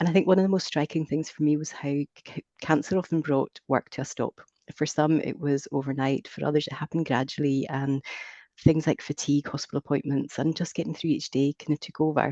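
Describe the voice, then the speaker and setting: The speech comes at a very fast pace. It is in a Scottish accent. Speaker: careers advisor presenting research. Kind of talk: research presentation. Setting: video call. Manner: scripted, measured.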